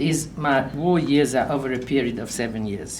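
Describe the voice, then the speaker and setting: With audible room echo, a woman talks at a fairly slow pace using lively intonation. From Vienna, Austria. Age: 70s. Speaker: Holocaust-era survivor sharing life story. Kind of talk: life story talk, partly read aloud. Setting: community event with audience.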